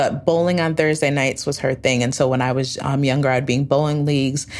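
Noticeable background noise sits behind a woman with an American accent. Her pitch is very deep and low, and her intonation fairly even. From upstate New York. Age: 30s. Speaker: travel company founder, former nonprofit leader. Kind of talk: storytelling interview.

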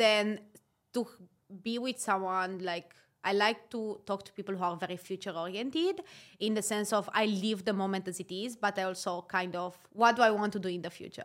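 A woman's medium-pitched voice at a moderate pace, fairly even in intonation but with big swings in loudness, on a very clean recording with a silent background. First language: not English. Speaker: podcast co-host. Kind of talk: casual chat. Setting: Dubai.

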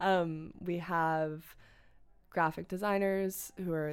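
Fairly low in pitch, a woman with an American accent speaks with fairly even intonation. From US Northeast, Westchester County, New York. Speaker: student, magazine co-founder. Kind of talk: casual chat.

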